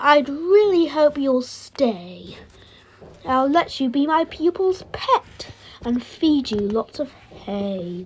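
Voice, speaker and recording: A woman uses a put-on character voice, high in pitch. She speaks at a very slow pace. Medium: read story.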